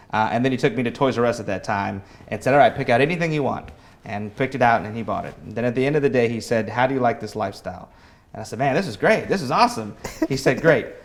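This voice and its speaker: In a Midwestern American accent, a man with a medium-pitched voice talks at a very fast pace, with ordinary pitch variation and big swings in loudness. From US Midwest, Kansas City area. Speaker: politics staffer. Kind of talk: interview.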